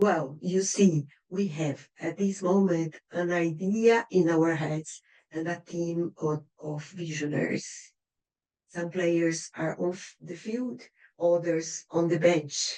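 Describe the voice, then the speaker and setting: A woman with a Brazilian accent speaks at a very slow pace in a dark, mellow tone. Her pitch is fairly low and her intonation fairly even. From Brazil, Curitiba. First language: Portuguese. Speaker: writer and poet. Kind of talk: reading aloud a prepared speech. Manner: rehearsed, careful.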